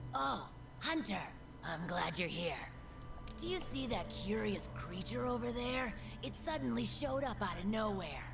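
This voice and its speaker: Someone performs in a put-on character voice. Loud music plays in the background. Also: moderate pace. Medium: video game. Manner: friendly, talkative.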